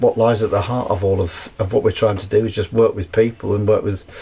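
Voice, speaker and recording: With noticeable background noise around him, a man keeps up a fairly quick pace. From North Wales. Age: 60s. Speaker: actor and festival organiser. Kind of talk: casual podcast interview. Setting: on a canal boat.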